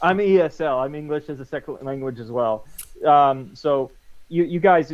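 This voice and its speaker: With an American accent, the man talks using ordinary pitch variation. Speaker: podcast co-host. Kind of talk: casual interview.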